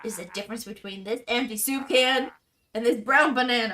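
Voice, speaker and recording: Putting on a rumbling character voice, a woman speaks at a fairly high pitch and fairly quick pace with big swings in loudness. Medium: game stream. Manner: grumbling, pessimistic.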